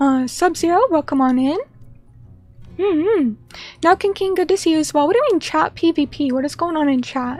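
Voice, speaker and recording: Over music in the background, a woman with an extremely high voice speaks at a fairly quick pace with lively intonation and long, frequent pauses. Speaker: vtuber streamer. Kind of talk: casual chat. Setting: live stream.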